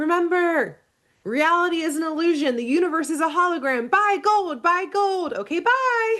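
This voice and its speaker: A put-on character voice sits at an extremely high pitch. It moves at a moderate pace. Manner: mocking, breezy.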